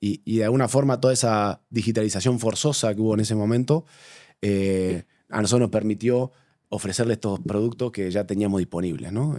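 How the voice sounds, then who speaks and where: In a Rioplatense accent, a man speaks at a moderate pace with a fairly low pitch, ordinary pitch variation and a dark, mellow tone on a very clean recording with a silent background. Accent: Rioplatense Spanish, mistaken for Argentine. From Uruguay. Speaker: bank digital transformation manager. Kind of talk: interview conversation.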